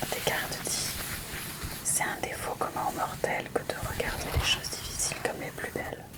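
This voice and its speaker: A woman whispers at a moderate pace while noticeable background noise plays behind her. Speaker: magazine journalist and ASMR fan. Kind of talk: ASMR whisper presentation of a magazine. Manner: whispered, soft.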